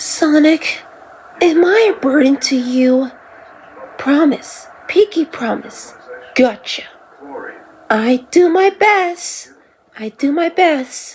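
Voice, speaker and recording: A put-on character voice, high-pitched and very slow, with long, frequent pauses. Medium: solo performance. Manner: eager, friendly.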